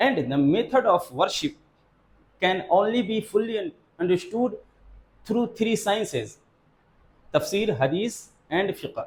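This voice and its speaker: A man with a Pakistani accent, his high-pitched voice lively in intonation, at a fairly slow pace with long, frequent pauses. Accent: South Asian (Pakistani) English. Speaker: Islamic madrasa teacher. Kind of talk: lecture. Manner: simple deliberate speech.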